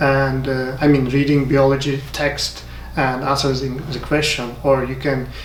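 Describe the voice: There is little pitch movement in the voice, and audible room echo comes through. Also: man, medium pitch for a man, fairly slow pace.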